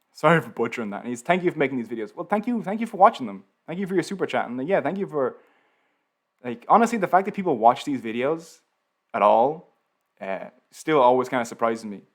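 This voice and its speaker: With a Dublin accent, a man talks very fast in a fairly high voice, with very wide pitch swings and big swings in loudness, on a very clean recording with a silent background. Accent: Irish, Dublin. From Ireland, Dublin. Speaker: YouTube educational creator. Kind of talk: live stream Q&A. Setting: live stream. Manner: casual, filler-heavy.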